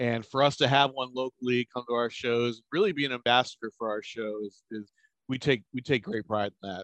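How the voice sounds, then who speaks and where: In an American accent, a man with an ordinary speaking voice talks at a fairly quick pace and medium pitch with ordinary variation, the sound dry and close with no echo. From Maryland, near Washington DC. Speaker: card show promoter and collector. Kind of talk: casual interview.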